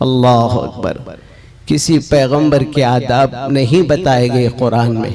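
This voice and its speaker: Male speech amid noticeable background noise. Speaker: Islamic scholar (mufti). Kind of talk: religious sermon (bayan).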